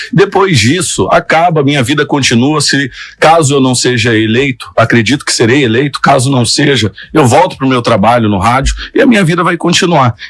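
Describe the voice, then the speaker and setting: With an unremarkable speaking voice, this man keeps a moderate pace, a fairly high pitch and ordinary pitch variation. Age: 30s. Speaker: radio journalist and mayoral candidate. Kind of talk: interview.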